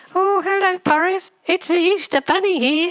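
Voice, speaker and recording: The voice is a put-on character voice. Its extremely high pitch has a squeaky sound. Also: moderate pace. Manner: playful, funny.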